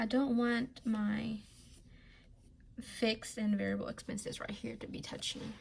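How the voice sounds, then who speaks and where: Quiet and high-pitched, a woman speaks. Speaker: budgeting vlogger. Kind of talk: casual tutorial. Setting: at home.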